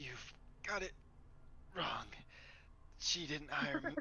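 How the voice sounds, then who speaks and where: In a put-on character voice that is raspy and middle in pitch, the speaker goes at a fairly slow pace with clear background noise. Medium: actual play. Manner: stammering, evasive.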